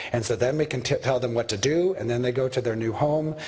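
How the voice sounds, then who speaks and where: Someone talks very quickly while background noise is clearly heard. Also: man. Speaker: orthopedic surgeon lecturer. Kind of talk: lecture. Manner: fast.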